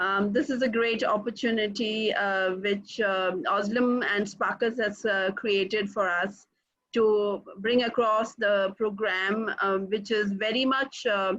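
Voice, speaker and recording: In an Indian accent, a woman speaks very slowly at a fairly high pitch, with very even loudness and fairly even intonation. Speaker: executive coach. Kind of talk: webinar presentation.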